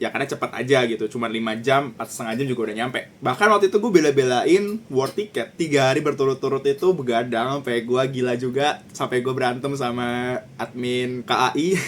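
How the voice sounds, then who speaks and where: A man at a medium pitch talking very fast with hardly any pauses and ordinary pitch variation, over noticeable background noise. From Jakarta, Indonesia. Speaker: vlogger. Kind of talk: vlog narration. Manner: casual, with English code-switching.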